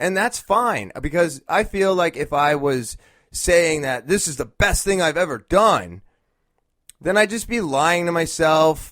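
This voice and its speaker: Lively intonation marks this man's high voice. He speaks at a fairly slow pace. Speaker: podcast host. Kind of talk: solo podcast monologue. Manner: hesitant. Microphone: new camera mic.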